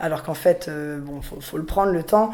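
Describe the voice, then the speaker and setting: Her tone is dark and mellow, and this woman's voice sits at a fairly low pitch. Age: 20s. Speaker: riding school owner, young farmer. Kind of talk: interview testimony. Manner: hesitant, many fillers.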